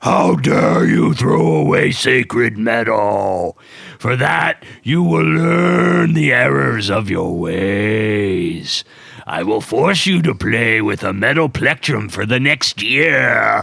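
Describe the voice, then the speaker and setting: In a put-on character voice, a man booms loudly at a fairly low pitch and a very slow pace. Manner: booming, scolding.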